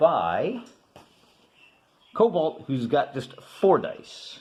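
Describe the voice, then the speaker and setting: A man speaks at a very slow pace with a dark, mellow tone. His pitch swings very widely. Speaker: wargaming video host. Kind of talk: tabletop game playthrough commentary. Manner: casual, conversational.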